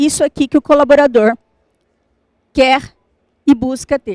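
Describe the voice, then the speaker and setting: Recorded dry and close with no echo, a woman talks at a high pitch with ordinary pitch variation. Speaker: business consultant and speaker. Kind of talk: talk to a live audience. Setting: stage with audience. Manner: animated.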